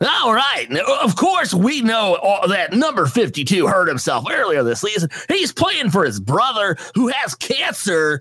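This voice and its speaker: A man puts on a character voice with a high pitch and very wide pitch swings, in keeping with the act. He goes at a fairly slow pace with very even loudness over light background noise. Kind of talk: announcer's exposition patter. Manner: annoying.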